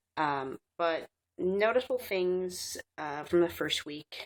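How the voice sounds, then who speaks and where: With a raspy voice and lively intonation, a woman speaks at a very slow pace in a dry, close sound with no echo. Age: 20s. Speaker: vlogger. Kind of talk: casual vlog. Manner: hesitant with many fillers.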